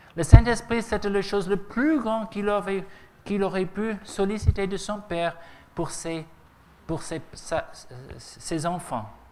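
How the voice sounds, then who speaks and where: A man with a high pitch talks at a very slow pace, leaving long, frequent pauses. His pitch varies in an ordinary way, and audible room echo surrounds him. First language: English (speaking French). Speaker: preacher. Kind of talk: sermon. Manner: halting.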